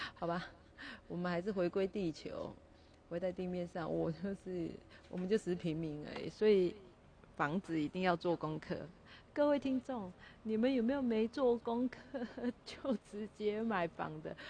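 Speaking in a Taiwanese accent, a woman uses a dark, mellow tone at medium pitch and a moderate pace, with lively intonation and long, frequent pauses. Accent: Taiwanese Mandarin. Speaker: podcaster. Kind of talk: casual solo monologue. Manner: animated. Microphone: first recording, poor quality, volume not adjusted.

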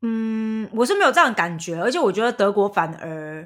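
Heard on a very clean recording with a silent background, a woman with an ordinary speaking voice talks at a moderate pace, fairly high in pitch, with lively intonation. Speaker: podcast host. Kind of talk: casual chat.

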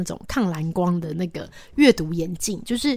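A woman's voice has ordinary pitch variation. The recording is very clean, with a silent background. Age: 40s. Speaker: radio host. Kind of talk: casual chat. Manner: halting.

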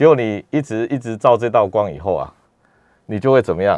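Speaking at a fairly quick pace, a man with a fairly low pitch shows ordinary pitch variation. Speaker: neurologist. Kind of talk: radio health interview. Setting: radio studio. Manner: hesitant, many fillers.

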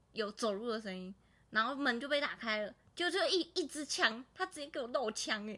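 Bright and sharp in tone, the voice carries lively intonation. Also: woman, high pitch for a woman, moderate pace. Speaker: podcast co-host. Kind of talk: casual chat.

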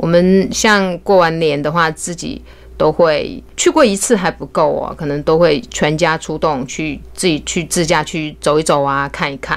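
A woman speaks with vocal fry at a fairly low pitch. She barely pauses at all. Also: ordinary pitch variation, fairly slow pace. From Hunan, China. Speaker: beauty salon owner. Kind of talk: casual interview chat. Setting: studio.

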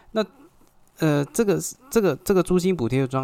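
In a Taiwanese accent, a man speaks with ordinary pitch variation. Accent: Taiwanese Mandarin. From Taiwan, Xinzhuang (New Taipei). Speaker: podcast host, real estate agent. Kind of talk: solo podcast monologue. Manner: hesitant, many filler particles.

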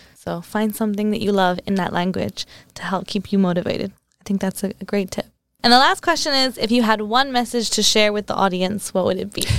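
A woman with an American accent talks at a fairly quick pace, her medium pitch showing ordinary variation. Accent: American-sounding English. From England. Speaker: podcast host. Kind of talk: casual interview. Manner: giggly, casual.

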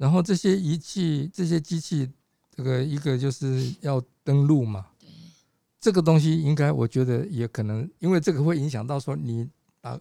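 A man with a dark, mellow tone and a fairly high pitch speaks at a moderate pace, his loudness swinging widely while his pitch varies in an ordinary way. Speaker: physician and patient safety advocate. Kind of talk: casual chat. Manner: halting.

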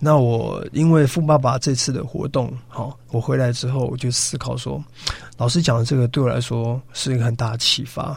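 A man with an unremarkable speaking voice talks at a moderate pace, his medium pitch held in fairly even intonation. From Taiwan, Yilan. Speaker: business coach, education founder. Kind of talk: radio interview. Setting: radio studio.

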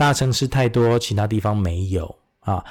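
At a moderate pace, a man with a normal speaking voice talks with ordinary pitch variation, in a very clean recording with a silent background. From Taiwan, then Istanbul and US East Coast schooling. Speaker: medical professor and surgeon. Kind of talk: interview. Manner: code-switches between Mandarin and English.

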